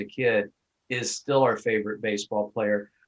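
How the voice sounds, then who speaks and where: A man speaks at a moderate pace with fairly even intonation, in a normal speaking voice. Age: 60s. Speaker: podcast host. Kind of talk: interview.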